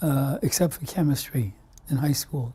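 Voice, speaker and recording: A man speaks at a moderate pace with a fairly high pitch and a dark, mellow, somewhat breathy tone. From US Northeast, Brooklyn, New York. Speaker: immunologist, scientist. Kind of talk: oral history interview. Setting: recorded interview. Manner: halting, many fillers.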